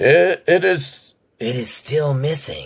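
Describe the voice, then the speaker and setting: A put-on character voice, raspy in texture. It moves at a fairly slow pace. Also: man. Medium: read story. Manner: earnest, formal.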